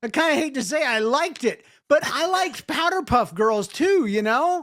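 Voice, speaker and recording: With an American accent, a man speaks at a moderate pace in an extremely high pitch with very wide pitch swings, on a very clean recording with a silent background. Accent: can slip into Southern accent at will. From US South. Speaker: podcast host. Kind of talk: casual chat.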